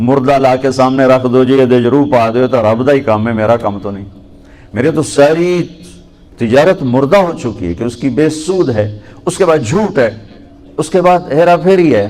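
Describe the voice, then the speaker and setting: This unremarkable speaking voice has lively intonation throughout. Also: man, medium pitch for a man. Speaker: Islamic preacher. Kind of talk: religious sermon to a youth audience.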